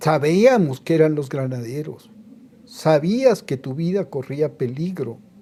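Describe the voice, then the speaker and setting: A man with a fairly high pitch and a dark, mellow tone talks very slowly with lively intonation. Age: 70s. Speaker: TV producer and political commentator. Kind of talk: interview. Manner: animated.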